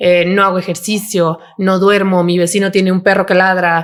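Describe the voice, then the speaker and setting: A woman's plain, everyday voice at a moderate pace. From Mexico, León. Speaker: psychiatrist. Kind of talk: podcast interview.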